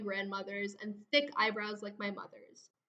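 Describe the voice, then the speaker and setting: Delivered at a moderate pace, this is an unremarkable speaking voice with an American accent. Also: woman. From USA, childhood partly in India. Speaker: digital storyteller, podcaster. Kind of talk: scripted narration.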